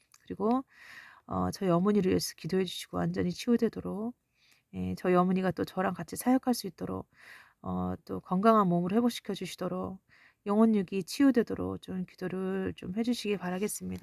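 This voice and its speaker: A woman's calm tone at a fairly quick pace, dry and close with no echo, on a very clean recording with a silent background. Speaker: missionary preacher. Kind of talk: revelation testimony with prayer. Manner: halting with many fillers.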